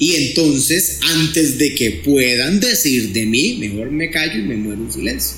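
A man's lively, fairly slow speech with hardly any pauses, amid audible room echo and noticeable background noise. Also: medium pitch for a man. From Costa Rica, Pérez Zeledón. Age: middle-aged. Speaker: psychologist. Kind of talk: podcast interview.

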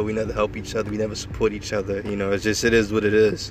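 A man speaks very fast in a fairly low register, with noticeable noise in the background. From New York, Long Island. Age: 20s. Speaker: podcaster. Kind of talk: casual monologue. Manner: hesitant, many fillers.

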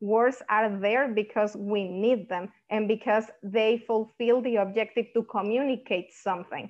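A woman with a Spanish accent speaks at a fairly slow pace with hardly any pauses, keeping fairly even intonation at a fairly high pitch. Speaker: linguistics doctoral student and Spanish instructor. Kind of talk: academic interview discussion.

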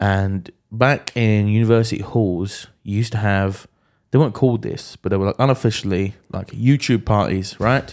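Recorded very clean with a silent background, a man speaks in a normal speaking voice at a moderate pace. His pitch is fairly low and his intonation fairly even. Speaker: podcast host. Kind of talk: casual chat.

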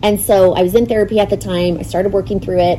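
A woman with an American accent has an unremarkable speaking voice at a medium pitch. Her intonation stays fairly even. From Arizona, North Phoenix. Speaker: charity volunteer and mother. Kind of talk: casual interview.

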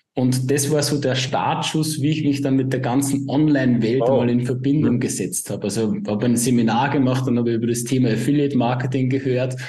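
A man with a slight Upper Austrian accent at a fairly quick pace, hardly any pauses, fairly even intonation and very even loudness, amid audible room echo and noticeable background noise. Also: medium pitch for a man. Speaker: positioning consultant. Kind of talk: interview.

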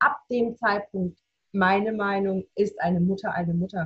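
A woman's somewhat breathy, medium-pitched voice with a dry, close sound and no echo. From Baden-Württemberg, near Reutlingen. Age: 30s. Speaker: bereaved mother. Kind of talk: personal testimony.

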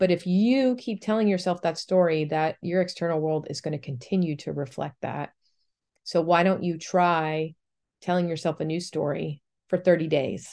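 At a moderate pace, a woman speaks in an unremarkable speaking voice with ordinary pitch variation over a quiet background. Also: fairly low pitch for a woman. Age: 40s. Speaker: podcast host and poet. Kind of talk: casual monologue.

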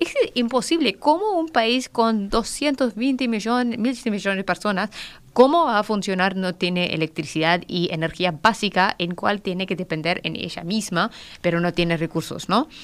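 With lively intonation, a woman speaks at a medium pitch and a fairly slow pace. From Pakistan, near Afghan border. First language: Pashto or Urdu (speaking Spanish). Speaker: political analyst. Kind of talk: radio interview. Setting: radio studio. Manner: halting.

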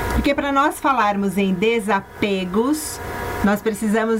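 Against noticeable background noise, a woman with a fairly high pitch and lively intonation speaks at a fairly slow pace. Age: 50s. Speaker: radio host. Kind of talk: radio talk on self-knowledge.

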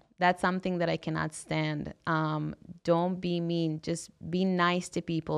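A woman with an Israeli accent against a quiet background. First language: Hebrew. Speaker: women-only gym owner. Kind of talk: interview.

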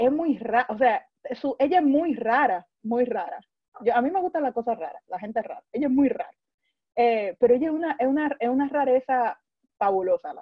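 A woman with a high pitch talks at a fairly quick pace, her intonation lively and her loudness swinging widely. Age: 20s. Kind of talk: religious talk.

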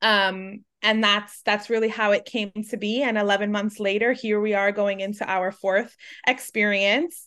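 Over a quiet background, a woman speaks fairly slowly in an unremarkable speaking voice pitched fairly high. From New York City (Manhattan). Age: 30s. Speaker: business founder. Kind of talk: interview.

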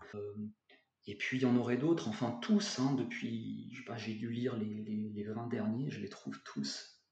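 Speaking at a fairly slow pace with a medium pitch, a man's loudness swings widely, and the room echo is audible. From France, Bordeaux. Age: 40s. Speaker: English teacher and author. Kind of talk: interview. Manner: halting, many repetitions.

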